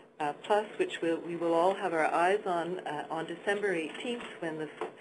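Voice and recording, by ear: Amid audible room echo, a woman speaks with a fairly low pitch and ordinary pitch variation. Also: moderate pace.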